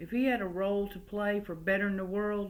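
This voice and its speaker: A woman with a slight Southern US accent at a moderate pace, audible room echo around her. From West Virginia coalfields, then US South from age six. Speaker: storyteller. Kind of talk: oral family storytelling. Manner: folksy, conversational.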